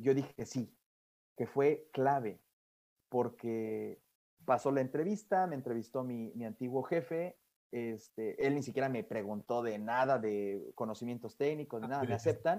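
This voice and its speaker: A man's dark, mellow tone at medium pitch, fairly slow in pace, with ordinary pitch variation. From Mexico. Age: 20s. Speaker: guest, young industrial engineer. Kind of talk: casual interview. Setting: remote interview from Europe. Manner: halting, frequent repetitions and fillers.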